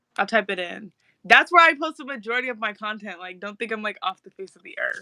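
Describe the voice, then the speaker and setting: Very fast, bright, sharp speech in an American accent with lively intonation and big swings in loudness, dry and close with no echo. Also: woman, fairly high pitch for a woman. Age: 20s. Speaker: content creator. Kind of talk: casual chat. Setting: live video stream.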